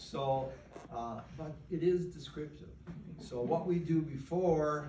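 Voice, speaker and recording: A man talks with an American accent. Room echo is audible. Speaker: award recipient and advocate for the incarcerated. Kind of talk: acceptance speech. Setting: stage with audience, microphone dead. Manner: loud; halting.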